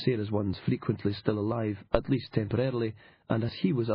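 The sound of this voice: The reading voice is unforced. Its pitch stays fairly even.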